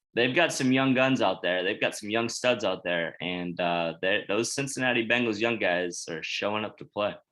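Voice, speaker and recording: A man's fairly low-pitched voice with a bright, sharp tone, lively intonation and a moderate pace against a quiet background. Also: hardly any pauses. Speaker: sports podcast host. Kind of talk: casual sports chat. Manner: halting, self-correcting.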